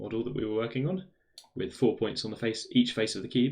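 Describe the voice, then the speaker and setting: A man with a British accent speaks at a fairly quick pace. His pitch sits in the medium range. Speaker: maths streamer. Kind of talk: live stream maths exploration. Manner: thinking aloud, hesitant.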